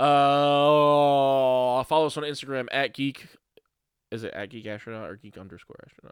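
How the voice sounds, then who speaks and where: A man speaks in a normal speaking voice, fairly high in pitch, at a moderate pace, with ordinary pitch variation and big swings in loudness. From Brooklyn, New York. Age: 30s. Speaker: podcast host. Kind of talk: casual chat.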